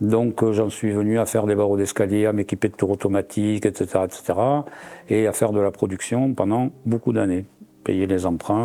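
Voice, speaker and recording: A fairly low, dark and mellow male voice, fairly quick, with fairly even intonation and very even loudness. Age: 70s. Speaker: ceramic artist and woodturner. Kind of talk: interview. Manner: hesitant, many fillers.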